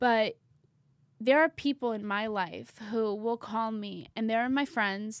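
A woman has a fairly high pitch and an unremarkable speaking voice. The recording is very clean, with a silent background. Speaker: podcast host. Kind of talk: casual chat.

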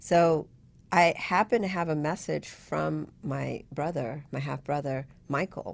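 A woman speaks very slowly in a very deep, low voice with vocal fry and ordinary pitch variation, on a very clean recording with a silent background. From Vietnam, raised in US. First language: Vietnamese. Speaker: web consultant, entrepreneur. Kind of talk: casual interview.

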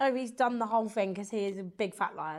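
Animated in tone, a woman talks at a fairly quick pace with ordinary pitch variation. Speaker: podcast host. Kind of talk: casual chat.

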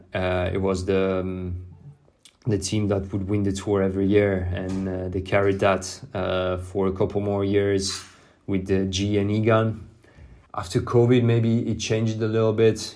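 With a dark, mellow tone and fairly low pitch, a man speaks in a monotone, flat intonation amid audible room echo. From southern France. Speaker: professional cyclist. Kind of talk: interview. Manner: halting, with repetitions.

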